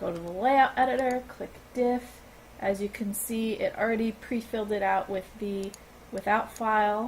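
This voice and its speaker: Somewhat breathy, a woman talks at a moderate pace with a fairly high pitch. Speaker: gaming video creator. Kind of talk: tutorial. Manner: halting.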